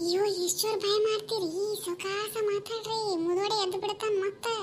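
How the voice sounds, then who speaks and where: A woman's squeaky, cartoonish character voice, extremely high in pitch, slow-ish and monotone with flat intonation, over clear background noise. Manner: sharp, bossy village dialect.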